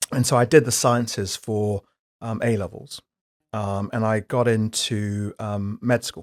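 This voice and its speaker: In an English accent, a man with a fairly low voice is heard on a very clean recording with a silent background. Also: fairly even intonation, fairly slow pace, dry, close sound with no echo. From UK, raised from age 8 after West African childhood. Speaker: company director, insurance executive. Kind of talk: interview.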